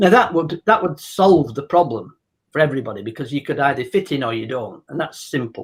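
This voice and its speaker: A man with a fairly high pitch speaks at a fairly quick pace, somewhat breathy and with lively intonation. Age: 60s. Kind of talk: casual discussion. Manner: halting, many restarts.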